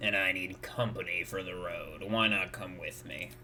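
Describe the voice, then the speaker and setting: Over clear background noise, a man puts on a raspy character voice at a fairly low pitch. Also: moderate pace. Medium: game stream. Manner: curt, cold, deadpan.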